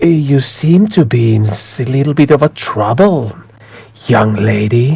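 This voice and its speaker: Putting on a character voice, a man at a medium pitch talks at a fairly slow pace with lively intonation. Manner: ominous.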